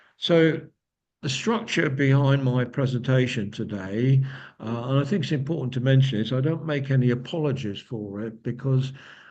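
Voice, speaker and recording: A man talks at a moderate pace with ordinary pitch variation, and audible room echo surrounds his voice. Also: medium pitch for a man. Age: 70s. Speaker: company founder and speaker. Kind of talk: lecture. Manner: halting.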